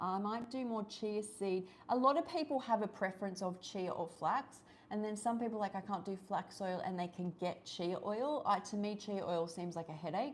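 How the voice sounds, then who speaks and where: With an Australian accent, a woman speaks at a medium pitch and a moderate pace with ordinary pitch variation, over noticeable background noise. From Australia, Sydney. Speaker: raw vegan YouTuber and health coach. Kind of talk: livestream chat while cooking. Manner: casual, filler-heavy.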